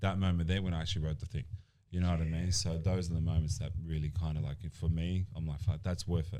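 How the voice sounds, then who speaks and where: A man's very deep, low, dark, mellow voice in an Australian accent, very fast, with fairly even intonation. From Australia, born in Colombia. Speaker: personal trainer and gym owner. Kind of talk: casual podcast interview. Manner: halting, many fillers.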